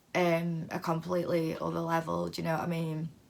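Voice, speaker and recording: A British accent in a very clean recording with a silent background. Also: woman. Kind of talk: casual vlog monologue. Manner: hesitant, many fillers.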